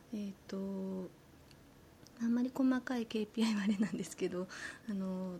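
Soft-spoken and calm, a woman talks fairly slowly at a medium pitch in a somewhat breathy voice, with long, frequent pauses. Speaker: community manager. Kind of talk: casual chat. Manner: calm, soft tone.

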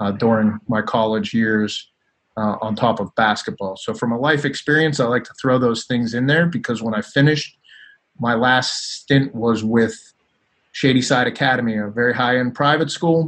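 At a moderate pace, an unremarkable speaking voice with an American accent shows ordinary pitch variation. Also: man, medium pitch for a man. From Pittsburgh, Pennsylvania. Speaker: basketball coach and sports executive. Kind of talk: casual interview.

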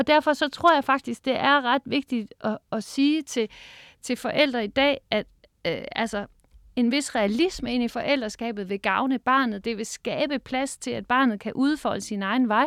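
The speech moves at a fairly slow pace with ordinary pitch variation. The very clean recording has a silent background and a dry, close sound with no echo. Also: woman, high pitch for a woman. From Denmark, Harlev near Aarhus. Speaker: professor of educational psychology. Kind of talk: interview. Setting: studio.

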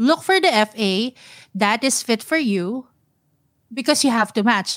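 On a very clean recording with a silent background and a dry, close sound with no echo, a woman with a Filipino accent speaks at a fairly high pitch. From Philippines, Manila (Mandaluyong). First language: Tagalog. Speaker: personal finance podcaster. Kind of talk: casual interview.

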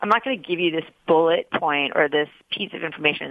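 Very fast and in a very deep, low voice, a woman talks with an American accent. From New York City (Queens). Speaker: media executive. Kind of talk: interview. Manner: halting.

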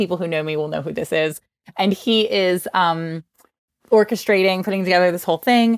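A woman talks fairly quickly with a slight New Jersey accent, her medium pitch rising and falling in an ordinary way. The sound is dry and close, with no echo. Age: 40s. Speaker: author and meditation teacher. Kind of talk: interview. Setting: video call.

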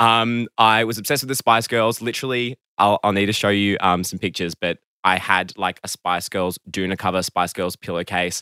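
A man's fairly low, bright and sharp voice at a moderate pace with hardly any pauses, dry and close with no echo, on a very clean recording over a silent background. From Melbourne, Australia. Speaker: guest. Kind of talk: casual interview chat. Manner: hesitant, filler-heavy.

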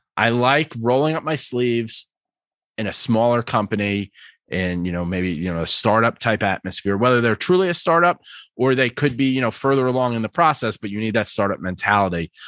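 Speaking at a fairly quick pace in a normal speaking voice, a man with an American accent has a medium pitch and lively intonation. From New York. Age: 30s. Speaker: customer success manager and stand-up comic. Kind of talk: interview.

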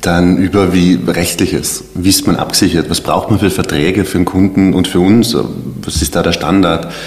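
A man's very deep, low voice at a fairly quick pace, fairly even in intonation, with noticeable background noise. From South Tyrol. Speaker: web designer and agency founder. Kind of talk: casual interview.

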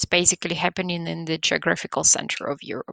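A woman with a Belarusian accent against a quiet background. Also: dry, close sound with no echo. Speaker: guest from Belarus. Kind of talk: casual interview.

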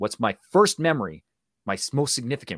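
Speaking in a Canadian accent, a man uses very wide pitch swings and vocal fry. The recording is very clean and silent behind him, dry and close with no echo. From Canada. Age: 40s. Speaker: actor and public speaking coach. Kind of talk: interview. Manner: direct.

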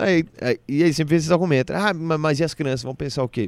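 The sound is dry and close, with no echo. A man talks very fast. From Brazil, Brasília then Recife. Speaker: stand-up comedian. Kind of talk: casual interview chat.

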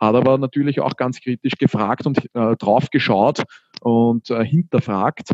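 A man's medium pitch at a moderate pace with fairly even intonation. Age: 20s. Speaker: startup founder. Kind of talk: interview. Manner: hesitant fillers.

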